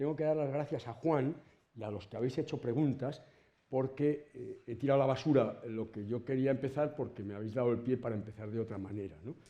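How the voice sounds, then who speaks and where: With a dark, mellow tone, a man speaks with ordinary pitch variation and big swings in loudness. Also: medium pitch for a man, fairly quick pace. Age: 70s. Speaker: professor. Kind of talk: lecture. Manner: conversational.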